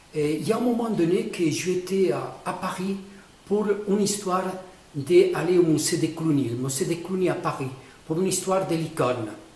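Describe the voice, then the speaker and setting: Amid noticeable background noise and audible room echo, a man talks at a high pitch with ordinary pitch variation. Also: moderate pace. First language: not French (speaking French). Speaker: painter explaining his own artwork. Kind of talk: casual explanation of a painting. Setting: artist's studio. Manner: halting, many hesitations.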